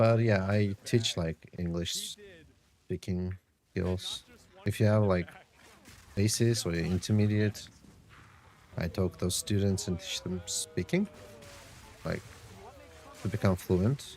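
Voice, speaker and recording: A man with a non-native accent speaks in a fairly low pitch with fairly even intonation. He leaves long, frequent pauses. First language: not English. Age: 30s. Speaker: game streamer and online English tutor. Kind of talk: casual live-stream chat. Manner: halting.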